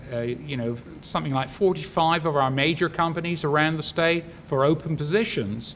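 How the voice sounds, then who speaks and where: Pitched fairly high, the man talks with a British accent. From UK. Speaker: bioscience industry executive, commencement speaker. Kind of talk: graduation speech. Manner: halting, many fillers.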